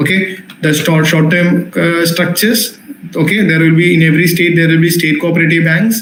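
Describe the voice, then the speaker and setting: A man with a Keralan accent speaks at a fairly quick pace, high in pitch with fairly even intonation and very even loudness. Audible room echo and noticeable background noise surround him. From Kerala, India. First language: Malayalam. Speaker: teacher. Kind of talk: lecture. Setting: live online class.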